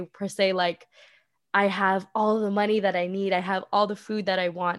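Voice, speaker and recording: With a Canadian accent and an unremarkable speaking voice, a woman talks at a moderate pace and medium pitch in a very clean recording with a silent background. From Vancouver, Canada. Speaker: social media manager. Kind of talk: casual interview chat.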